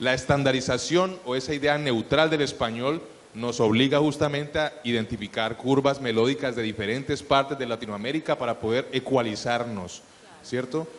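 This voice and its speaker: This man has a medium pitch and ordinary pitch variation. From Colombia, Cali. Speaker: voice actor. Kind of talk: panel discussion.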